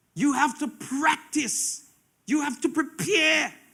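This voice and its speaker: Speaking in a raised, projected voice at an extremely high pitch, a man has a bright, sharp tone. His pace is very slow. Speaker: preacher. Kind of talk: sermon.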